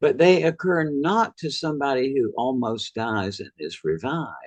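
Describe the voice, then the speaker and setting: Speaking fairly slowly with a Southern US accent, a man swings very widely in pitch. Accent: Southern US (Georgia). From US South. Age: 80s+. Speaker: author and near-death experience researcher. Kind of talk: interview.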